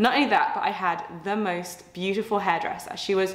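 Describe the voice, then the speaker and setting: Speaking at a fairly quick pace, a woman is heard with audible room echo. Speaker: fitness coach. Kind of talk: casual vlog chat. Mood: cheerful, chatty. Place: home room.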